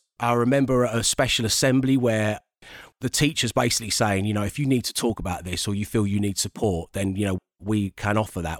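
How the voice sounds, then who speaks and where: Recorded very cleanly against a silent background, a man with a London accent speaks fairly quickly in a fairly low pitch with ordinary pitch variation. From Southeast London. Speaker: radio DJ and TV presenter. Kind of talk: casual interview chat.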